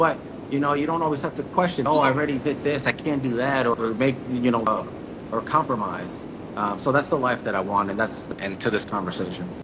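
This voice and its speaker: A man talks fairly quickly, with ordinary pitch variation, as noticeable background noise continues. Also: medium pitch for a man. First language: Spanish. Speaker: entrepreneur. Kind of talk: interview. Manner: halting.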